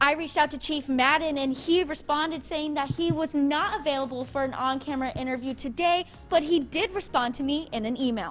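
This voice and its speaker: Music plays in the background. A woman speaks at a fairly quick pace in a high voice. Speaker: television news reporter. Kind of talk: live shot and stand-up reporting to camera.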